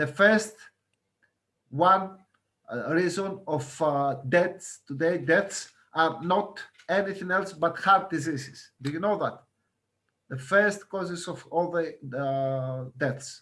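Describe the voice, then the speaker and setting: Using long, frequent pauses at a very slow pace, a man with a high pitch, ordinary pitch variation and a bright, sharp tone speaks. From Greece, Crete. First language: Greek. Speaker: guest lecturer on healthy lifestyle. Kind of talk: lecture. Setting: video call. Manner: halting, many fillers.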